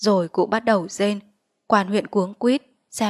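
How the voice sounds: Read in a natural reading voice with fairly even intonation, the clip has a quiet background.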